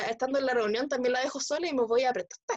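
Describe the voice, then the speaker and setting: A woman with a high voice speaks at a very fast pace. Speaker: podcast host. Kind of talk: casual chat. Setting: video call.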